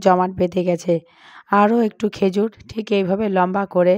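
A woman speaks with a medium pitch and monotone, flat intonation. The recording is very clean, dry and close, with no echo and a silent background. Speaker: cooking channel host. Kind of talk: cooking tutorial.

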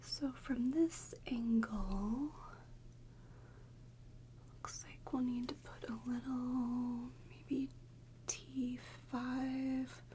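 Amid light background noise, a soft-spoken woman speaks very slowly in a somewhat breathy, dark and mellow tone, with very wide pitch swings and long, frequent pauses. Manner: soft, hushed ASMR speaking. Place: home room.

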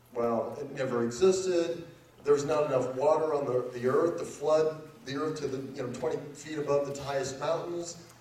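There is audible room echo and light background noise. Through it, a man speaks at a moderate pace with ordinary pitch variation. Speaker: lecturer. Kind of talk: lecture. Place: hall.

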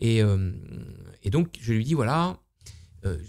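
With a dark, mellow tone, a man speaks at a very slow pace against a quiet background. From Normandy, France. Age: 50s. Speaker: entrepreneur, luxury hotel owner; interview guest, estate creator. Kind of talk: casual interview. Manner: halting, many fillers. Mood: relaxed, storytelling. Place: home room. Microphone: studio mic.

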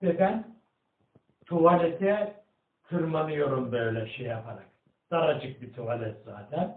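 Very slowly and with long, frequent pauses, a man talks in a fairly high pitch with very wide pitch swings and big swings in loudness, audible room echo around him. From Erzincan, Turkey; Turkey. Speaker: retired agricultural engineer; elderly storyteller. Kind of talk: interview answer, personal memoir. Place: home room. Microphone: camera far.

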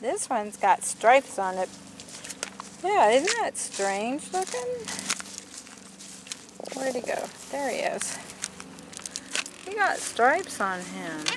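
A woman speaks slowly at a fairly high pitch with big pitch swings. She leaves long, frequent pauses over faint background noise.

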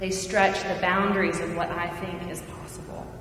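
A woman speaks at a moderate pace with a fairly low pitch. Her pitch moves little, and room echo is audible.

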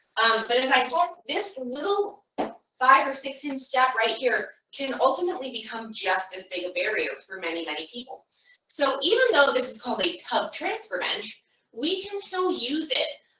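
A woman with a high voice speaks at a moderate pace, her loudness swinging widely. Room echo is audible. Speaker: caregiver trainer. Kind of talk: tutorial. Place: bathroom. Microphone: camera far.

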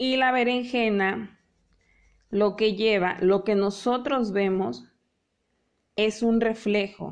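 A woman with a fairly high pitch speaks at a very slow pace, leaving long, frequent pauses. Her loudness is very even, her intonation fairly even, and the background is quiet. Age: 30s. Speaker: painting teacher. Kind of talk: live online painting class. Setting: live video stream. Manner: warm, chatty. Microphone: phone near.

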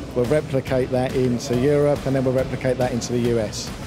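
Clear music plays behind a man speaking at a moderate pace with fairly even intonation. The sound is dry with no echo. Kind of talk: interview answer. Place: hall. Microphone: handheld.

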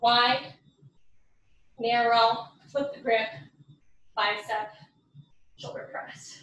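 Lively intonation from a woman with a fairly high pitch, plus audible room echo. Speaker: fitness instructor. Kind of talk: workout class instruction. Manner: energetic, counting cues; breathless between sets.

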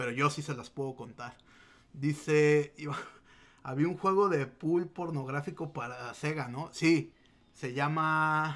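The speaker, with a Mexican accent, talks at a very slow pace with long, frequent pauses. Loudness swings widely while the intonation stays fairly even. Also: man, fairly high pitch for a man. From Mexico. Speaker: gaming streamer. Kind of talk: casual livestream chat. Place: home room. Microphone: webcam.

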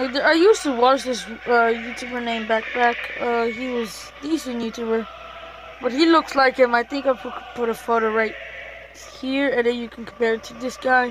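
Amid noticeable background noise, a woman speaks at a moderate pace and a high pitch with fairly even intonation and big swings in loudness. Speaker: gaming YouTuber. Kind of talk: gameplay commentary. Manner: casual, filler-heavy.

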